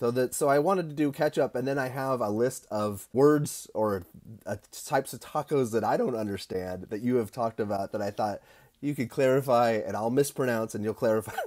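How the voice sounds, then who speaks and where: A man at a medium pitch with ordinary pitch variation, at a fairly quick pace against a quiet background. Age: 50s. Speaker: barbecue podcast host. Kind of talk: casual interview. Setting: video call. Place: home room. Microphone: earbuds.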